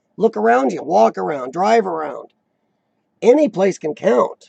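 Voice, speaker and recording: A man's squeaky, high-pitched voice at a moderate pace. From rural farm country. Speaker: live-stream chat host. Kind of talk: casual live chat reading viewer comments.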